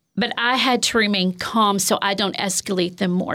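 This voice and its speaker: In a very clean recording with a silent background, a woman speaks in an ordinary speaking voice at medium pitch, with ordinary pitch variation and a moderate pace. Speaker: counselor and former teacher. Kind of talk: interview discussion.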